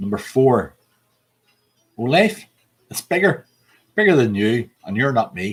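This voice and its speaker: With an American accent, the voice is somewhat breathy and shows very wide pitch swings. It moves at a fairly slow pace with long, frequent pauses. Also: man, medium pitch for a man. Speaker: pub quiz host. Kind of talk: quiz hosting, reading out song lyrics.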